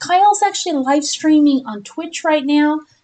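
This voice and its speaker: Music is audible behind the voice. The speaker is a woman. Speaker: gaming live streamer. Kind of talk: live gameplay stream chat. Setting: live stream. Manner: casual, chatty.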